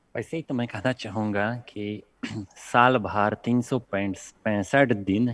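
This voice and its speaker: Ordinary pitch variation runs through a man's fairly low voice with a Polish accent. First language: Polish (speaking Hindi). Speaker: panelist, Hindi and Sanskrit speaker. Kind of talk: TV panel discussion.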